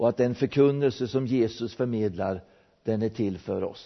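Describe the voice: Someone reads the text aloud. The reading is plain.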